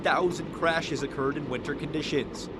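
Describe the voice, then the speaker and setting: With music in the background, a man talks at a fairly quick pace in a fairly high pitch. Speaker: TV news anchor and reporter. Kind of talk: news feature package narration.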